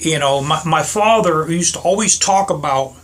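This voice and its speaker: Very slow delivery in an American accent, bright and sharp in tone, with ordinary pitch variation. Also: man. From Pittsburgh, US. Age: 60s. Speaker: motorcycle vlogger. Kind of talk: casual monologue vlog. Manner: halting, repetitive.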